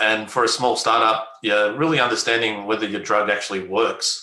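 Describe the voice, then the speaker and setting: An Australian-accented man, fairly low in pitch, with a bright, sharp tone. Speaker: biotech company executive. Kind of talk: interview.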